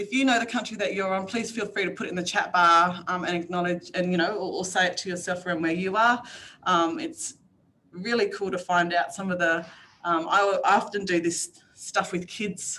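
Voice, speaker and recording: A woman of medium pitch with an Australian accent and ordinary pitch variation. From Northern Territory, Australia. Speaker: workshop facilitator. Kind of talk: online workshop presentation. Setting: video call. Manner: fast.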